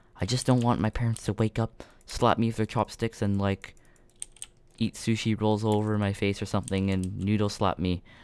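Recorded very cleanly against a silent background, a man speaks at a moderate pace with a fairly low pitch. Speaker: gaming YouTuber. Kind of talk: gameplay commentary. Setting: home at night. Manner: quiet, trying not to wake parents.

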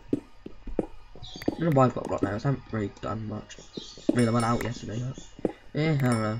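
The speaker rushes at a very fast pace yet leaves long, frequent pauses, with noticeable background noise behind. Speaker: gaming YouTuber. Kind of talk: gameplay commentary. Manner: casual, rambling.

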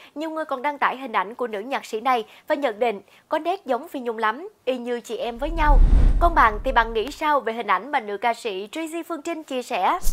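A woman speaks at a fairly quick pace in a high pitch. Her intonation is lively. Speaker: entertainment news presenter. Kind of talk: news reading. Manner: formal.

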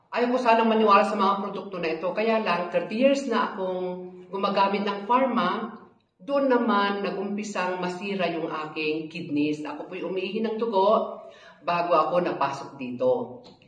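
With lively intonation, a woman speaks at a moderate pace amid audible room echo. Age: 60s. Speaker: product testimonial giver. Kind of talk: testimony. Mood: earnest, calm. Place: office.

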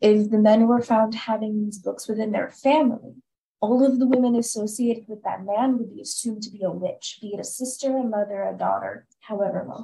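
Fairly quick and somewhat breathy, a woman's dark, mellow voice swings widely in loudness. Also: fairly high pitch for a woman, fairly even intonation, quiet background. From US. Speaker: graduate student; presenter. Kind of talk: lecture. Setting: video call. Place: home room. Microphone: video call.

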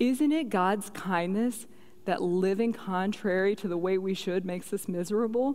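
A woman speaks at a fairly slow pace with a Southern US accent. Her intonation is lively. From US South. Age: 30s. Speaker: guest speaker at women's conference; conference speaker. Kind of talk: panel Q&A; sermon-style talk. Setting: church stage with audience. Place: church. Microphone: headset.

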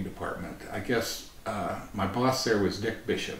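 Light background noise and audible room echo surround a man speaking at a fairly low pitch with an American accent. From US Midwest, Nebraska. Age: 60s. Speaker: retired wildlife biologist and agency director. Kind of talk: oral history interview. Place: meeting room.

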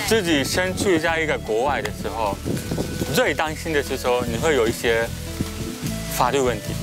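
A man with a Japanese accent at a moderate pace with long, frequent pauses, dry sound with no echo and clear music in the background. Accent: Japanese-accented Mandarin. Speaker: law lecturer. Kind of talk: interview answer. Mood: relaxed, smiling. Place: garden. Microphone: lapel.

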